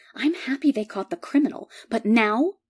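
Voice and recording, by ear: A woman whispering in a put-on character voice at a moderate pace, on a very clean recording with a silent background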